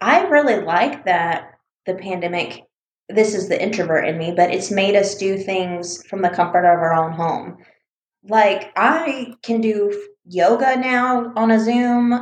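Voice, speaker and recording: A woman with an American accent at a fairly slow pace, ordinary pitch variation and audible room echo. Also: medium pitch for a woman. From US Deep South, Mobile, Alabama. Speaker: podcast co-host. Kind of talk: casual chat.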